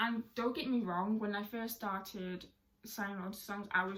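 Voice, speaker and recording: This woman's voice sits at a medium pitch, with a British accent. Her intonation stays fairly even. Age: 20s. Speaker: deaf sign language content creator. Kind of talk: casual talk to camera.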